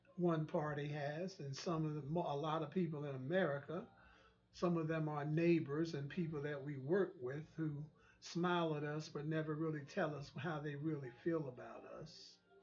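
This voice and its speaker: A man speaks in a monotone at a fairly high pitch and a moderate pace, his intonation flat. Room echo is audible. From US South. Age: 60s. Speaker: online talk show host. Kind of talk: monologue commentary. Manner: halting, with frequent repetitions.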